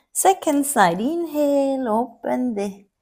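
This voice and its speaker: Very wide pitch swings carry a French accent at a very slow pace. The recording is very clean, with a silent background. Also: woman. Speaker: yoga teacher. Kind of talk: guided yoga class instruction. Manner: calm, gentle.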